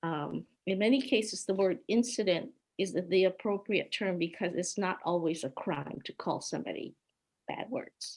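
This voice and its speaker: On a very clean recording with a silent background, a woman with a Hawaiian accent talks at medium pitch and a moderate pace with ordinary pitch variation. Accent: American, Hawaii-raised. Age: 70s. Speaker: peace activist. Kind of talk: personal testimony with slides.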